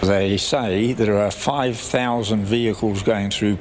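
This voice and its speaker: Over noticeable background noise, a man with a medium pitch talks at a fairly slow pace with ordinary pitch variation. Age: 90s. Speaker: elderly petitioner. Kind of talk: interview answer.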